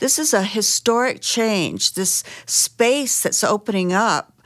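A woman speaks at a very slow pace. The recording is very clean with a silent background, dry and close with no echo. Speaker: professor and program founder. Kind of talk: interview.

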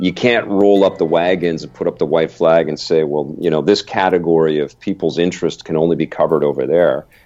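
The man's voice is very deep and low, with a dark, mellow tone. He keeps his intonation fairly even and hardly pauses. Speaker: video game journalist, TV producer. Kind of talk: interview.

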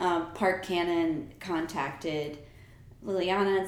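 In a room with audible echo, a woman with an American accent speaks at a medium pitch with ordinary pitch variation. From New York and New Jersey. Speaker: artist. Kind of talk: casual interview.

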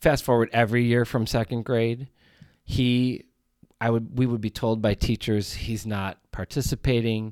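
With an American accent and an ordinary speaking voice, a man of medium pitch talks at a moderate pace with fairly even intonation, the sound dry and close with no echo in a very clean recording with a silent background. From US Midwest, rural Wisconsin. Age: 40s. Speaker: podcast host, student teacher. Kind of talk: solo podcast monologue.

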